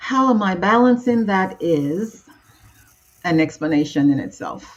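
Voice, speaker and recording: Her pitch swings very widely around a medium level. This woman speaks at a fairly slow pace. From Nigeria. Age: 60s. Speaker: transformational coach. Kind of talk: interview.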